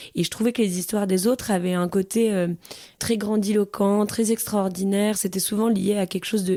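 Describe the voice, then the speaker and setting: Her dark, mellow tone sits at medium pitch as a woman speaks at a moderate pace with fairly even intonation. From provincial France. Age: 30s. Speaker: interviewee, mother. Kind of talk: testimony. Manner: hesitant, many fillers.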